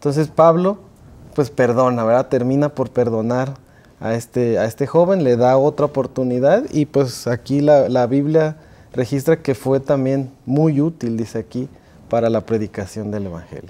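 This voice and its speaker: With a dark, mellow tone, a man talks at a moderate pace and ordinary pitch variation. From Mexico City. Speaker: music teacher. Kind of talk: panel discussion. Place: studio. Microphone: lapel.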